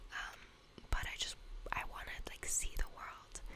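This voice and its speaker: Someone is whispering at a fairly slow pace. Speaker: university student. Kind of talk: ASMR whisper ramble. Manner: whispered; casual, chatty.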